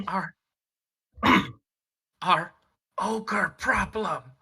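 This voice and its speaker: A female-sounding voice whispers in a raspy, put-on character voice. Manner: whispering; nervous.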